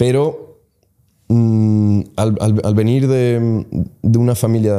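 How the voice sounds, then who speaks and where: In a very clean recording over a silent background, a man speaks with a dark, mellow tone. His pitch is fairly low and his intonation fairly even. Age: 20s. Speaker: entrepreneur. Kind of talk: casual interview.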